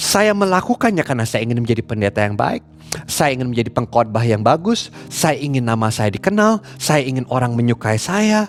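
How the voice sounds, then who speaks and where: Speaking at a fairly quick pace with hardly any pauses, a man with an English accent and a medium pitch makes very wide pitch swings over noticeable background noise. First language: English (speaking Indonesian). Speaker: pastor. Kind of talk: sermon. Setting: recorded online church service.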